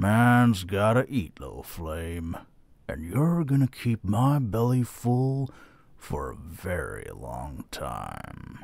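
At a very slow pace, a man speaks at medium pitch with very wide pitch swings and big swings in loudness. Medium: audio drama. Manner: gruff, smug, menacing.

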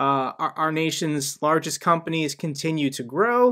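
A man's bright, sharp voice at a moderate pace, quiet background. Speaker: finance youtuber. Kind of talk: commentary. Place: home room.

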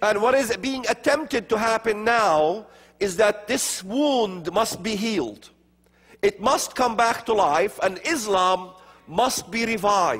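Over a quiet background, a man speaks very slowly at a high pitch, with ordinary pitch variation. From Middle East, Palestinian areas. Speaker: speaker on religion and prophecy; speaker. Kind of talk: lecture. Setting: stage with audience. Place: church. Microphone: lapel.

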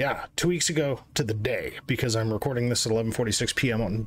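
Light background noise sits under a man speaking at a medium pitch with ordinary pitch variation. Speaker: gaming youtuber. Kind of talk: casual commentary. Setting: screen recording. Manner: animated. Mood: frustrated, ranting.

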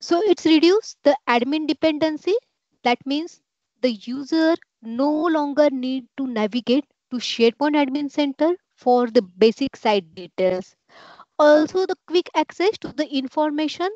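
Lively intonation marks a woman's high-pitched voice, delivered at a moderate pace. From India. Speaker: IT professional presenter. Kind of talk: scripted presentation. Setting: video call.

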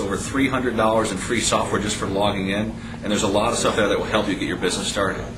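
A man with fairly low pitch and fairly even intonation at a very fast pace, amid noticeable background noise and audible room echo. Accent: American. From Chicago, South Side. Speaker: business success coach. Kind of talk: sales pitch.

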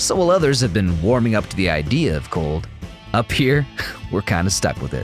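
With music in the background, a man speaks at a fairly low pitch and a moderate pace, his pitch swinging very widely. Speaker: voice actor. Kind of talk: TV commercial read.

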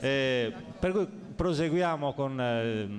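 Very wide pitch swings over light background noise. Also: man. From Sardinia. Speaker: local election candidate; election candidate. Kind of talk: candidates' debate. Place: hall. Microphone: podium.

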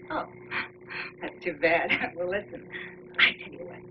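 Fairly quick speech from a woman, with noticeable background noise behind it. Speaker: actress playing a chatty former neighbor. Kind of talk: scripted drama dialogue. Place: studio.

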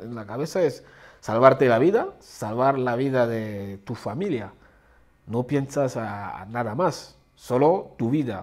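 The speech moves at a very slow pace with ordinary pitch variation. The background is quiet. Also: man, medium pitch for a man. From Central African Republic. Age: 30s. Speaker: refugee. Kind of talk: testimony; interview answer. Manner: halting. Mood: earnest, reflective. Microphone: lapel.

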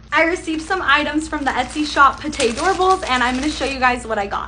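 Over light background noise, a woman talks at a very fast pace in a raised, projected voice with ordinary pitch variation. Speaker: product reviewer. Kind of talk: casual product showcase vlog. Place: home room. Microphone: phone near.

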